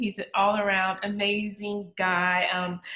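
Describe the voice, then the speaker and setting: A woman is recorded against a quiet background with audible room echo. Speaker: podcast host. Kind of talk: podcast interview questions. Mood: cheerful, smiling. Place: home room.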